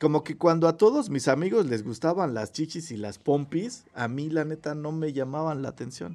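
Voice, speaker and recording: A man talks at a moderate pace with hardly any pauses, his fairly high voice carrying a dark, mellow tone. His intonation is lively, and his loudness swings widely. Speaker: podcast host. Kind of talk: casual chat. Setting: recording from home.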